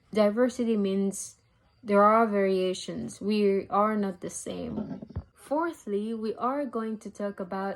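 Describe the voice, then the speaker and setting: Speaking very slowly with a French accent, a woman uses a medium pitch. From DR Congo. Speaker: university student. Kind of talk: student presentation.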